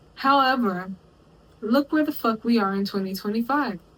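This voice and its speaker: A woman speaks in an American accent, her fairly high voice somewhat breathy. Her pitch variation is ordinary. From Texas, US South. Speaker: commentary YouTuber. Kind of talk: video essay commentary. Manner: casual, conversational.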